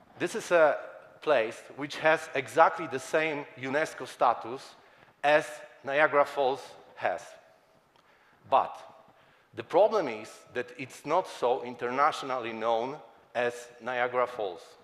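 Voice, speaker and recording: A man talks fairly slowly and pauses often and at length. Noticeable background noise is present. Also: fairly high pitch for a man, ordinary pitch variation. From Poland. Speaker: advertising creative. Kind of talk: conference talk.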